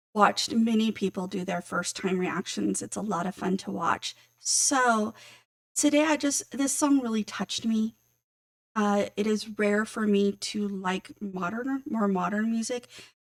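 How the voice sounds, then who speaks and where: A woman's unremarkable speaking voice at a medium pitch, fairly slow, with ordinary pitch variation. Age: middle-aged. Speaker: music reaction YouTuber. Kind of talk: casual talk to camera.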